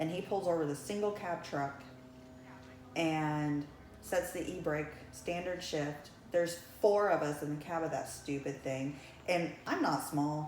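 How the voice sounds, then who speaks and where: A woman with an American accent talks at a fairly slow pace in a very deep, low voice, leaving long, frequent pauses. Audible room echo and noticeable background noise fill the recording. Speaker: realtor and broker. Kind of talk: life-story interview. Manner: casual, with frequent um fillers.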